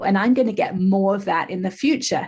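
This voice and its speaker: With a slight English accent, a woman sounds somewhat breathy against a quiet background. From England. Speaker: life coach. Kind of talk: podcast interview.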